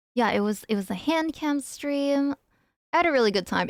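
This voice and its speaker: A woman's voice with ordinary pitch variation, dry and close with no echo, on a very clean recording with a silent background. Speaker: streamer. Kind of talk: casual chat. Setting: live stream. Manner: loud; animated.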